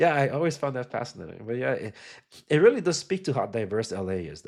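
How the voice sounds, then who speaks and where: Animated and very fast, a man talks with very wide pitch swings. The recording is very clean, with a silent background. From Los Angeles area, Compton, Salvadoran family. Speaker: podcast host. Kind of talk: casual chat.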